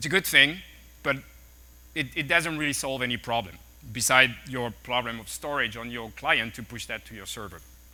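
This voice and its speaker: A man speaks with a French accent at a fairly quick pace. His tone is bright and sharp. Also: very clean recording, silent background. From France. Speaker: tech executive speaker. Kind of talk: conference talk. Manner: halting, with fillers and repeats.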